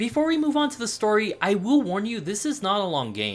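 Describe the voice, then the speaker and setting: Music plays in the background while the speech runs at a fairly quick pace. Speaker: video game reviewer. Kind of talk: scripted narration. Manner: casual, profane.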